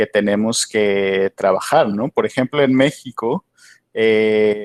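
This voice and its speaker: A man at medium pitch, very slow pace, and ordinary pitch variation, with a dry, close sound, no echo, a very clean recording and a silent background. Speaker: PhD candidate, academic speaker. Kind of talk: conference Q&A answer. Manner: hesitant, many fillers and repetitions.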